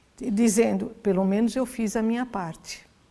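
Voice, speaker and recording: A dark, mellow tone carries the speech. The recording is very clean, and the background is silent. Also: woman. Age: 60s. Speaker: lawyer and NGO founder. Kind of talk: interview.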